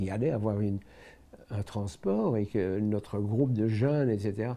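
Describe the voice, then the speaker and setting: The tone is dark and mellow. The pace is moderate, and the pitch varies in an ordinary way. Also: man. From Belgium, Brussels. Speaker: Holocaust survivor. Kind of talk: testimony.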